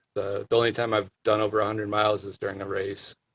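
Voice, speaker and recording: Fairly quick speech from a man with an American accent and fairly low pitch. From Iowa, US Midwest. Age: 40s. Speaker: ultrarunner. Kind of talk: interview. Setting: live video stream. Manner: halting, many fillers and repeats.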